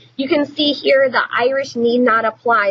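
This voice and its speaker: Noticeable background noise sits beneath a woman speaking at a moderate pace in a high pitch. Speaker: teacher. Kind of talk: recorded lecture. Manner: casual with many fillers.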